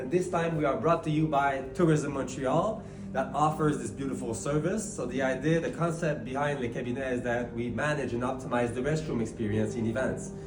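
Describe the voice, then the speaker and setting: A man speaks at a fairly high pitch and fairly quick pace, with ordinary pitch variation and hardly any pauses. Noticeable background noise and audible room echo are present. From Quebec. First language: French. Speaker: business co-founder. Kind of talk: interview. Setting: event restroom at a convention center.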